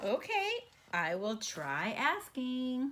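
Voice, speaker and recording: A woman performs a put-on character voice pitched high. Her pitch swings very widely. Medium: read story. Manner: anxious, dramatic.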